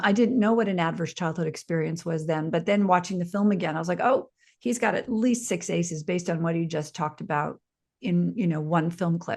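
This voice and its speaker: Against a quiet background, a woman talks at a fairly quick pace in a somewhat breathy voice. Her pitch is medium, with ordinary variation. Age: 60s. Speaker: prison reform advocate and former filmmaker. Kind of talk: podcast interview. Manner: hesitant fillers, frequent um and you know.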